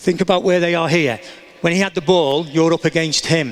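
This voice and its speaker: The speaker, in an English accent, talks at a fairly quick pace. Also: man. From England. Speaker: soccer coach. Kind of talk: coaching demonstration. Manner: instructive, encouraging.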